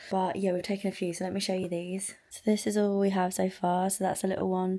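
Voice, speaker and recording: On a very clean recording with a silent background, a woman speaks quietly at a medium pitch. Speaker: vlogger. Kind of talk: video diary vlog. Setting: outdoors by the seafront. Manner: quiet, hushed.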